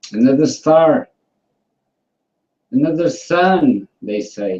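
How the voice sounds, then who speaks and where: A man at a very slow pace, fairly high in pitch with very wide swings, in a dry, close sound with no echo. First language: not English. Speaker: flat earth debate participant. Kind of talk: casual online debate. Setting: video call hangout. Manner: halting.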